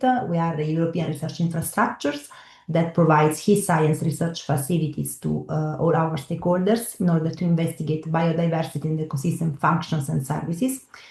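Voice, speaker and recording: A somewhat breathy woman's voice, fairly low in pitch, at a moderate pace with ordinary pitch variation. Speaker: research infrastructure service coordinator. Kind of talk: webinar presentation. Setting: video call. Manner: halting, many fillers.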